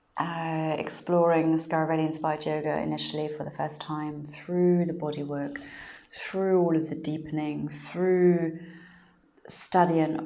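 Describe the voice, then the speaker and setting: A woman's very deep, low voice, flat and monotone, with audible room echo. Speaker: yoga teacher trainer. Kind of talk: live stream talk. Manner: hesitant, many fillers.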